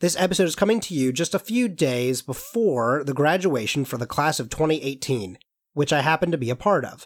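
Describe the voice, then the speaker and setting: A normal speaking voice from a man, fairly high in pitch and fairly quick in pace, in a very clean recording with a silent background. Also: lively intonation. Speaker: student podcast host. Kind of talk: scripted narration.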